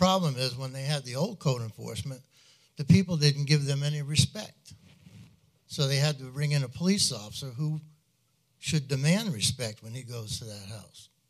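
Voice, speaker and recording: A man speaks in a fairly high, somewhat breathy voice. His loudness swings widely. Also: ordinary pitch variation, moderate pace. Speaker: retired police officer. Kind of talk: public comment. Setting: council meeting.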